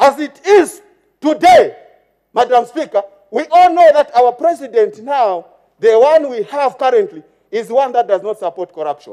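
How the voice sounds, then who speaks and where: A man with a Zambian accent has a dark, mellow tone and an extremely high pitch, swinging very widely in pitch at a moderate pace. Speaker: member of parliament. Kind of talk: parliamentary maiden speech, formal address to the Speaker; partisan parliamentary oratory attacking the former ruling party. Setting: parliament chamber. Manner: formal, repeatedly addressing Madam Speaker between clauses; halting with fillers, heckled by chamber murmurs of agreement.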